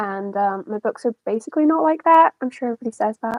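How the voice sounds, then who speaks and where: Fairly quick and lively in intonation, a woman speaks in a fairly high pitch with an American accent. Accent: Scottish with a slight American twang. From Scotland. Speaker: author. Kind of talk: casual interview chat.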